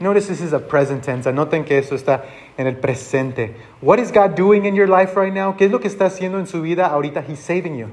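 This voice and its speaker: A man with an American accent talks at a very fast pace, high-pitched and with lively intonation. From Texas border region. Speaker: pastor. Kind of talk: bilingual sermon.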